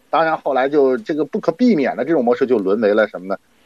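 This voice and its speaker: A man at a very fast pace. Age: 40s. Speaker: internet and finance commentator. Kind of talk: podcast interview.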